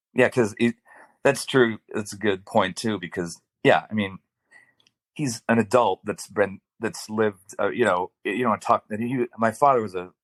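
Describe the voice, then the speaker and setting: A man with an American accent has an unremarkable speaking voice, speaking at a fairly low pitch and moderate pace with fairly even intonation in a very clean recording with a silent background. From US Midwest, Detroit, Michigan. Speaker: podcast guest. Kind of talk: casual conversation.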